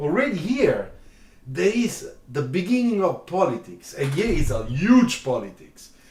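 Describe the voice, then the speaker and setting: With audible room echo, a man talks at a fairly slow pace in a high voice that makes very wide pitch swings. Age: 60s. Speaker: car designer and drawing teacher. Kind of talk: live stream chat.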